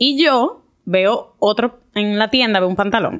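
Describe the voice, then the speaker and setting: With a normal speaking voice, a woman talks at a medium pitch and with lively intonation. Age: 20s. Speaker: doctor. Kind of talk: casual chat.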